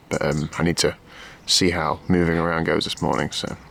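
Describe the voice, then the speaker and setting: Noticeable background noise is present as a man talks. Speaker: triathlete vlogger. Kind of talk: casual vlog. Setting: outdoors.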